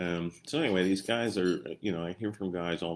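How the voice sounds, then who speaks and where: A man speaks with a strong Ozarks accent. His pitch is very deep and low. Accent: strong Missouri Ozarks. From Missouri. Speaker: doctor and health coach. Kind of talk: live-stream health talk. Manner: casual, halting with fillers.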